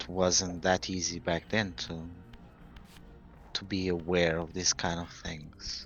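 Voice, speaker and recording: A man speaks with a non-native accent at a very deep, low pitch. Music plays in the background. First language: not English. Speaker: gaming commentator. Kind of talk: let's play commentary. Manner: casual, conversational.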